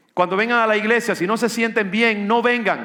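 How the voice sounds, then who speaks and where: A man's raised, projected voice, high-pitched with a bright, sharp tone, in audible room echo. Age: 60s. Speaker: pastor. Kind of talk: sermon.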